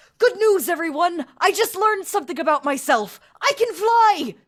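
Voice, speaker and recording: An extremely high-pitched, put-on character voice. It moves along at a moderate pace. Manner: cheerful, excited announcement.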